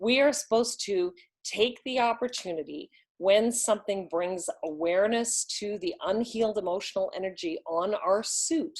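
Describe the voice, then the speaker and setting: A woman's ordinary speaking voice, fairly high-pitched with lively intonation, at a moderate pace on a very clean recording with a silent background. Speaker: relationship coach. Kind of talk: lesson.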